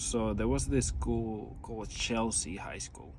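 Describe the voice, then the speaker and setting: Audible room echo follows a man speaking at a moderate pace with an American accent. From New York. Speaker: vlogger. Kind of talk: casual monologue. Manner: rambling, hesitant with fillers.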